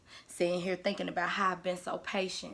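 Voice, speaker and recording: A woman's unremarkable speaking voice, medium in pitch and fairly quick in pace. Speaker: spoken word poet. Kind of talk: spoken word poetry.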